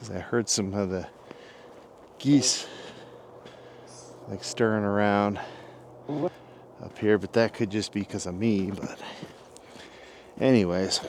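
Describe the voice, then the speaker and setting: Against noticeable background noise, a man speaks at a fairly slow pace and fairly low pitch, with long, frequent pauses. His intonation stays fairly even while his loudness swings a lot. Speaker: outdoor vlogger. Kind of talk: vlog monologue. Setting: outdoors in woods at night.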